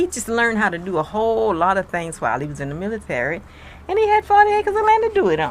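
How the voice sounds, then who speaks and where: A woman speaks in a Mississippi accent. Her pace is very fast. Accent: Southern US, Mississippi. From US South, Mississippi. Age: 80s+. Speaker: elderly interviewee sharing life story. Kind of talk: interview, personal recollection.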